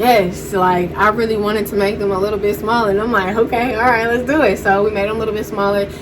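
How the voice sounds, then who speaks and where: A woman speaks at a very fast pace with hardly any pauses, her fairly high voice in a monotone, flat intonation. Noticeable background noise is present. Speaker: beauty vlogger. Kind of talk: casual vlog update. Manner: halting, many fillers.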